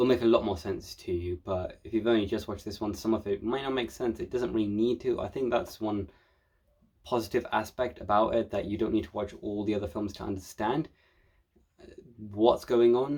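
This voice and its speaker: A man's fairly low, dark and mellow voice, with ordinary pitch variation and a fairly quick pace. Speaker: film reviewer. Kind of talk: casual film review monologue. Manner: fast.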